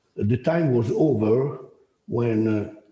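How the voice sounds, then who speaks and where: Somewhat breathy and dark, mellow in tone, a man speaks at a very slow pace with ordinary pitch variation. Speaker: professor. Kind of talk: lecture. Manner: halting.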